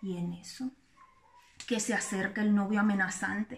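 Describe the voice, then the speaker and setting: Light background noise sits behind a woman speaking at a fairly slow pace with fairly even intonation. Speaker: storyteller. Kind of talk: casual vlog chat. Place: kitchen. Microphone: phone near.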